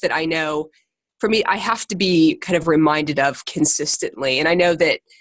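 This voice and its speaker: The voice carries an American accent and ordinary pitch variation. It moves at a moderate pace. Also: woman. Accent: American, noticeable in the UK. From Ohio, US Midwest. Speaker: secondary teacher leading a fitness group call. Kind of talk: casual group conference call talk. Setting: conference call. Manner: hesitant, many fillers.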